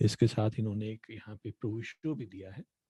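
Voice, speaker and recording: A man speaks with a somewhat breathy voice. The sound is dry and close, with no echo. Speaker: workshop presenter on nonprofit law. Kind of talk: online workshop lecture. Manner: halting with many fillers.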